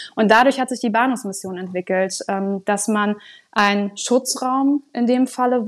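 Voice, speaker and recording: A woman's fairly high voice with fairly even intonation, against a quiet background. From northern Germany, Sylt. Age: 20s. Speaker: social work coordinator. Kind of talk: interview.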